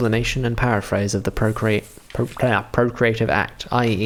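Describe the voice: This is plain reading aloud. The intonation is fairly even.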